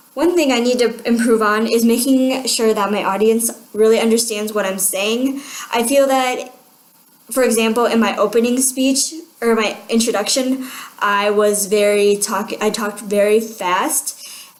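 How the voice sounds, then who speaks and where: In a room with audible echo and noticeable background noise, a woman speaks at a moderate pace, her fairly high pitch held to fairly even intonation. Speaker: student. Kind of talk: self-evaluation talk.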